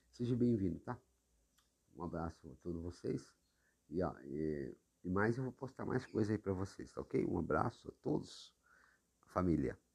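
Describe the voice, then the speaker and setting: Using a very deep, low pitch with very wide swings, a man with vocal fry talks at a moderate pace, broken by long, frequent pauses. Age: 40s. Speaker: podcaster. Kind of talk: monologue. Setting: at home, seated in living room. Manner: halting.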